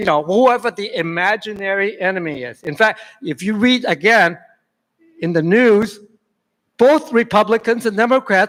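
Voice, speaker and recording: A man's intonation is lively as he speaks at a moderate pace. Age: 70s. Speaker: public commenter. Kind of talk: public testimony. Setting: public meeting hall. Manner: halting, repeats words.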